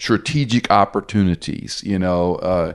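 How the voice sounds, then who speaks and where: Against a quiet background, a man with a fairly low pitch and ordinary pitch variation talks in an ordinary speaking voice. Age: 60s. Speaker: pastor and Bible teacher. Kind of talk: interview.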